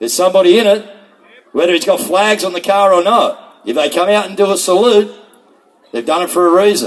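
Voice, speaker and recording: Loud and at a fairly quick pace, this voice has ordinary pitch variation and an Australian accent. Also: man, high pitch for a man. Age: 60s. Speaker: rally speaker. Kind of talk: rally speech.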